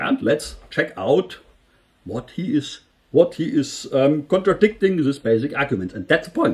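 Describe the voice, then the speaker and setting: A man with a German accent speaks at a fairly slow pace, with vocal fry and very wide pitch swings. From Germany. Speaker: engineer and political commentary youtuber. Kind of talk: video commentary. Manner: halting, many fillers and restarts.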